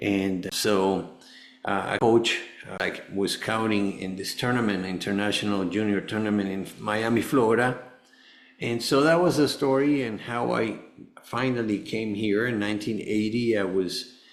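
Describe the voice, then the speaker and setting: A man with a Spanish accent speaks at a moderate pace in a fairly low voice with ordinary pitch variation, and the room echo is audible. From Venezuela. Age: 60s. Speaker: cancer survivor, former tennis player. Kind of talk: podcast interview. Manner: halting.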